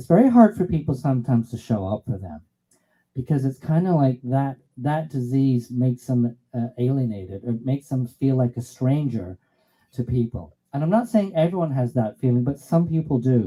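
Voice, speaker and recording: A man's somewhat breathy voice at medium pitch, dark and mellow in tone, with lively intonation and a moderate pace. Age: 60s. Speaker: musician performer. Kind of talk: song introduction.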